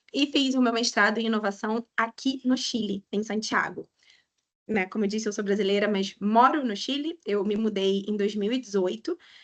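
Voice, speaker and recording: A woman with a strong Rio de Janeiro accent, fairly high in pitch, at a moderate pace with ordinary pitch variation. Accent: strong carioca (Rio de Janeiro). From Brazil, Rio de Janeiro. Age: 30s. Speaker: economist and financial educator. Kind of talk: webinar lecture. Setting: online webinar.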